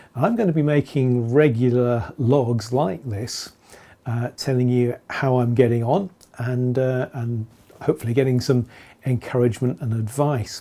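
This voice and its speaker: Over a silent background in a very clean recording, a man with an English accent speaks at a moderate pace, his medium-pitched voice dark and mellow with ordinary pitch variation. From England. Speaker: beard-growing vlogger. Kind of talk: casual video log. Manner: hesitant, many fillers.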